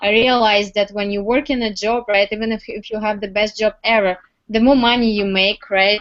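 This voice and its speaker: A woman in a Russian accent, fairly high in pitch, at a moderate pace, with fairly even intonation. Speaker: entrepreneur. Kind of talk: interview testimony. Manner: halting, many fillers.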